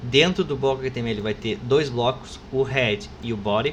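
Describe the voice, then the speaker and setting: Noticeable background noise fills the clip. A man is the one talking. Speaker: university professor. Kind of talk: lecture. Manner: fast; casual, informal.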